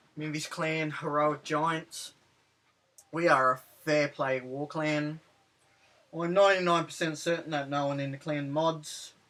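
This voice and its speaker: In an Australian accent, a man with a fairly high pitch and a bright, sharp tone speaks fairly slowly in a flat monotone, with long, frequent pauses. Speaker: gaming commentator. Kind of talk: game commentary recap. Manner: casual, hesitant with fillers.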